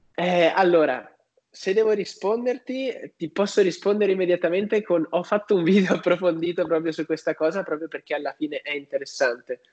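At a fairly quick pace, a man speaks with a high pitch and ordinary pitch variation in a dry, close sound with no echo. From northern Italy, Padua. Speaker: youtuber on personal finance. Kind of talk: interview.

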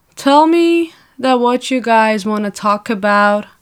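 A woman's fairly high voice with a non-native accent, at a very slow pace. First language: not English. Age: 20s. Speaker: podcaster. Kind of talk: casual monologue. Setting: home recording. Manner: animated.

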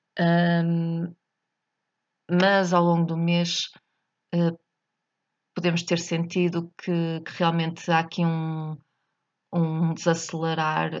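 This woman talks at a very slow pace in a European Portuguese accent. Her pitch sits fairly low. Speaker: astrology podcaster. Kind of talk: solo monologue reflection. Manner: halting, many fillers.

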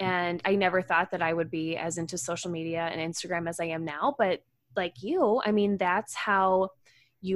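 A woman talks at a moderate pace in a normal speaking voice, fairly low in pitch. The recording is very clean with a silent background. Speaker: podcast host, health coach. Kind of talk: interview, casual chat.

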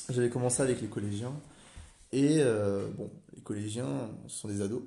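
The tone is dark and mellow, somewhat breathy. Audible room echo surrounds the voice. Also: man. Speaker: business school student. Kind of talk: solo podcast monologue. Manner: hesitant, many fillers and repetitions.

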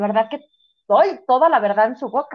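A woman with a Mexican accent speaks at a fairly high pitch. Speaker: podcast co-host. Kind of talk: casual chat.

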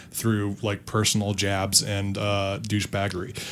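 Fairly slow speech from a man, plus clear background noise. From Northern Virginia. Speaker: rock band guitarist and singer. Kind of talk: casual chat.

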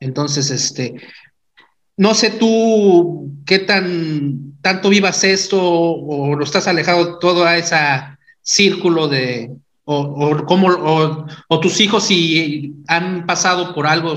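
With audible room echo, a man talks at a very slow pace using ordinary pitch variation. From Mexico, San Luis Potosí and Mexico City. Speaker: podcast host. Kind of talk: casual chat.

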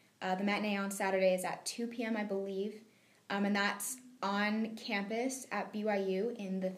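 A woman is speaking. There is audible room echo. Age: 20s. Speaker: reality show contestant. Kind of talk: interview.

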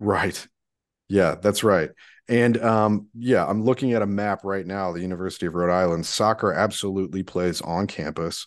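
A man with a normal speaking voice, fairly low pitch, moderate pace and fairly even intonation. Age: 40s. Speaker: podcast co-host. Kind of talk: casual chat.

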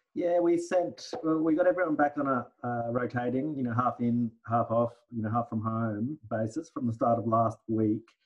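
A man's medium-pitched voice with an Australian accent, moderate pace and ordinary pitch variation. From Australia, Brisbane. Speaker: lawyer. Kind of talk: casual interview. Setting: video call.

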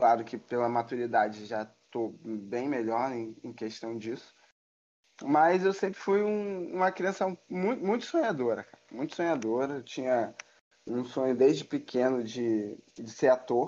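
Lively in intonation yet fairly slow, a man's dark, mellow, medium-pitched voice shows big swings in loudness. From Rio de Janeiro, Brazil (Tijuca). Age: 30s. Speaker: photographer. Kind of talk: casual interview chat.

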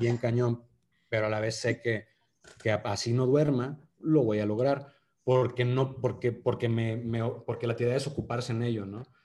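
Speaking at a fairly slow pace in a Monterrey accent, the voice is somewhat breathy, with a dark, mellow tone and monotone, flat intonation. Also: man, medium pitch for a man. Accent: Monterrey (regio). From Monterrey, northern Mexico. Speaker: actor. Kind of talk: casual interview.

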